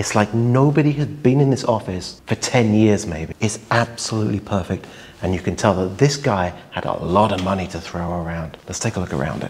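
Over light background noise, a man with a fairly low pitch speaks fairly quickly with lively intonation. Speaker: urban explorer vlogger. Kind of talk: casual vlog chat. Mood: excited, amused. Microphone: lapel.

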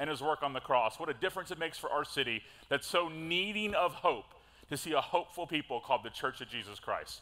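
A man rattles along at a very fast pace in a bright, sharp tone. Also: ordinary pitch variation. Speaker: pastor. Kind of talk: sermon. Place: church. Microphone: headset.

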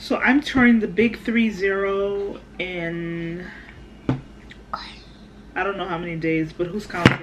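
Noticeable background noise sits behind a woman talking at a very slow pace. Her pitch varies an ordinary amount. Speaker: mother vlogger. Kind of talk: casual vlog chat.

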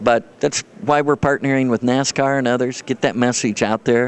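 Fairly quick and with fairly even intonation, a man's voice moves along. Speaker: guest. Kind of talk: interview answer. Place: hall. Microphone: handheld.

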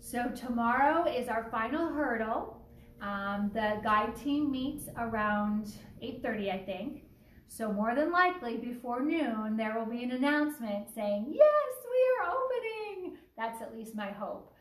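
A woman's high voice, fairly slow with ordinary pitch variation, with audible room echo and light background noise. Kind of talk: casual announcement vlog. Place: home room. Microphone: phone near.

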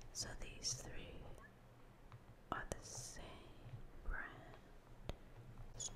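A woman talking at a very slow pace against loud background noise. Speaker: ASMR creator. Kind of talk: ASMR hand cream haul, casual talk to camera. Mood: calm, soothing.

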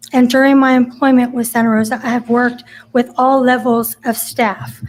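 Speaking with an American accent, a woman uses a high pitch. Her intonation stays monotone and flat. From California, Central Valley. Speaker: city council applicant. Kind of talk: public statement at council meeting. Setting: council chambers. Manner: halting, stumbling over words.

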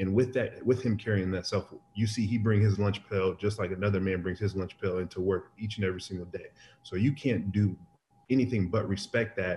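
A man speaks at a fairly quick pace in a fairly low, somewhat breathy voice with a dark, mellow tone. His intonation is fairly even, over light background noise. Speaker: remote interview guest. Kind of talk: interview answer. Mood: relaxed, respectful. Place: kitchen. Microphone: video call.

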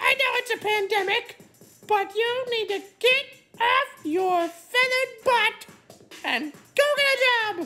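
A female-sounding voice performs a put-on character voice at an extremely high pitch. The pace is fairly slow. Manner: loud, scolding.

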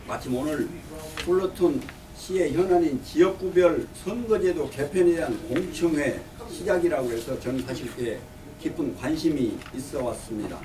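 A man's high-pitched voice with lively intonation at a fairly slow pace, over noticeable background noise. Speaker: retired physician and community volunteer. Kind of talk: press conference statement. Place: meeting room. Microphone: podium.

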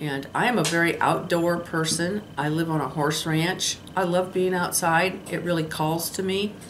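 A woman at a fairly low pitch and moderate pace, with hardly any pauses, fairly even intonation and noticeable background noise. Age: 60s. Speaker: lifestyle vlogger. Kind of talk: casual vlog monologue. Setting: solo camera recording. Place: home room. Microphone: phone near.

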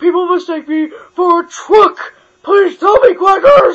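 Someone performs a put-on character voice pitched extremely high. The delivery is fairly slow. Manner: yelling.

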